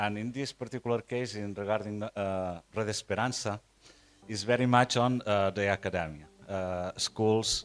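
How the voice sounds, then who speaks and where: With a Catalan Spanish accent, a man speaks at a moderate pace and fairly low pitch, with fairly even intonation. Music plays in the background, and the sound is dry and close with no echo. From Spain, Catalonia. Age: 60s. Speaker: conference speaker, nonprofit internet founder. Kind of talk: conference talk. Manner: halting, many fillers and repeats.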